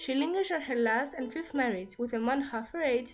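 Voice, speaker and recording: With music in the background, a woman with a non-native accent speaks at a fairly quick pace and high pitch, with ordinary pitch variation. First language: non-native English speaker. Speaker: book reviewer. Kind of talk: casual book review to camera.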